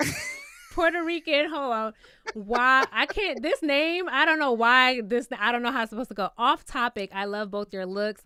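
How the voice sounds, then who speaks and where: A woman with a New York accent speaks in a high, bright, sharp voice with an animated tone. Her moderate pace is captured in a dry, close sound with no echo. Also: lively intonation. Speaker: YouTube reality TV commentator. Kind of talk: casual livestream chat.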